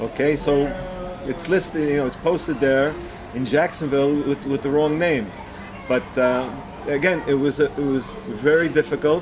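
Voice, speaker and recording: Amid noticeable background noise and audible room echo, a man speaks at a moderate pace with a fairly high pitch and ordinary pitch variation. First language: Yiddish. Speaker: bereaved father. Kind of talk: interview testimony. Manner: halting, many repetitions.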